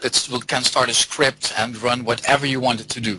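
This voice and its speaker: A man talks at a medium pitch and moderate pace over noticeable background noise. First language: not English or German. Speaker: software developer and theoretical biologist. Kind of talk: interview.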